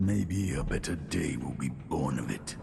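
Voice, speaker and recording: Over loud background noise, a man does a put-on character voice with a very deep, low pitch at a moderate pace. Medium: video game. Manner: measured, reflective.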